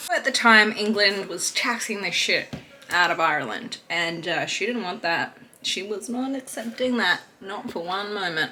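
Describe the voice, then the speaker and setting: Against noticeable background noise, a woman of medium pitch talks at a moderate pace with ordinary pitch variation. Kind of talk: history storytelling to camera. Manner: casual, irreverent.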